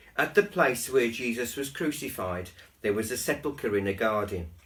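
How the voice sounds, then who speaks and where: A somewhat breathy man with lively intonation. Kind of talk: Bible story reading.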